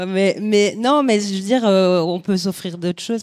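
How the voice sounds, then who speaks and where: A woman with an ordinary speaking voice at a medium pitch talks at a moderate pace with fairly even intonation, on a very clean recording with a silent background and a dry, close sound with no echo. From Belgium, Sicilian immigrant family. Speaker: photographer. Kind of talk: panel discussion. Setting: venue with live audience.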